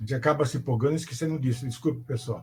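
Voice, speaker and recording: This is a somewhat breathy male voice. His pitch is medium. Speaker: teacher educator giving a lecture. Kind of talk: online lecture.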